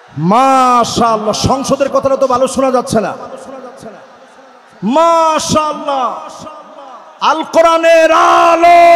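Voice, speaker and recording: There's crowd noise behind a man whose voice sits at an extremely high pitch, with ordinary pitch variation. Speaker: Islamic preacher. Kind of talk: religious sermon to a large outdoor crowd. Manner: fiery, rousing.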